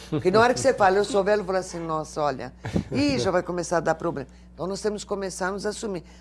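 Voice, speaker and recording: This woman talks at a medium pitch. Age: 60s. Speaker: lawyer and elder-rights advocate. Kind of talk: TV interview.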